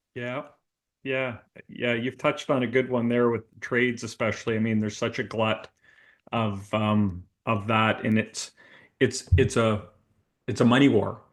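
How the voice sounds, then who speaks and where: A man with a slight Canadian accent speaks at a moderate pace and medium pitch. His intonation is fairly even, with long, frequent pauses. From Canada, Toronto area. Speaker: recruitment consultant, business owner. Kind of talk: interview podcast.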